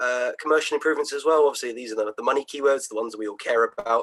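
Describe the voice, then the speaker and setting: The recording is dry and close, without echo. It features a man talking. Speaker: SEO marketing analyst. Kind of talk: webinar presentation. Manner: fast.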